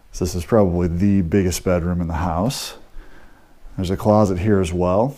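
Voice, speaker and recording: The voice has a dark, mellow tone and an American accent, with fairly even intonation. The background is quiet. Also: man. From US Midwest, St. Louis. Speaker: real estate agent. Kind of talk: walking property tour narration, pointing out features room by room. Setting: walking through a house while filming. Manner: casual, conversational with frequent 'uh' and 'um' fillers. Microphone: phone near.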